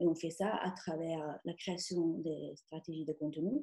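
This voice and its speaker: A woman with an Italian accent, dark and mellow in tone, somewhat breathy and fairly slow. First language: Italian (speaking French). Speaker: content marketing trainer. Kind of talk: webinar presentation. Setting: online webinar.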